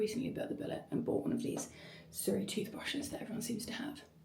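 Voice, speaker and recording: Here a woman talks. Room echo is audible. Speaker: small business owner and event host. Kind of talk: vlog. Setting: at home in bathroom. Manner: soft-spoken.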